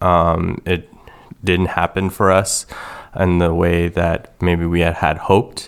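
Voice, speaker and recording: A man with a Canadian accent speaks very slowly in a very deep, low pitch. His intonation is monotone and flat, and his loudness stays very even. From Canada, Toronto. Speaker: optometrist. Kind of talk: testimony. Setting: studio. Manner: halting.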